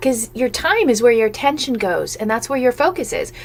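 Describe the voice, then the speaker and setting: A woman's fairly high-pitched voice with ordinary pitch variation amid noticeable background noise. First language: Italian or German. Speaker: business coach. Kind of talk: live webinar sales talk. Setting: live stream. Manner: fast; animated.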